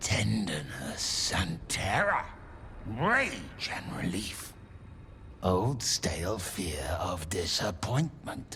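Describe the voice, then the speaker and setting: Whispering in a put-on character voice, a man speaks at a very slow pace. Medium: video game. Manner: terse, fragmented.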